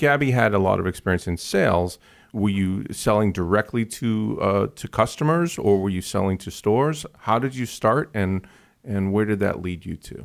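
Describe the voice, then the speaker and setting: A man with an unremarkable speaking voice talks at a moderate pace, his fairly low pitch varying in an ordinary way, on a very clean recording with a silent background. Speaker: podcast host. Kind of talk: casual interview.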